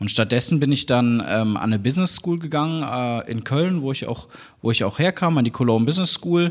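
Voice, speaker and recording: Speaking at a fairly quick pace, this man has a plain, everyday voice. His pitch sits in the medium range. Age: 30s. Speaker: university founder and chancellor. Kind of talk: interview.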